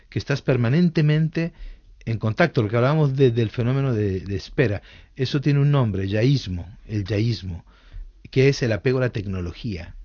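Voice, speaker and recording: Lively intonation marks this somewhat breathy voice, which moves at a moderate pace. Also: man, medium pitch for a man. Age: 60s. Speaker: author and psychologist. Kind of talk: radio interview.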